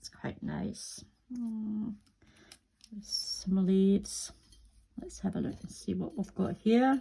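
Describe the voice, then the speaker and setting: A woman speaks at a very slow pace, with long, frequent pauses and big swings in loudness. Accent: British. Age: 60s. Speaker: crafting youtuber. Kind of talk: crafting tutorial. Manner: casual, chatty.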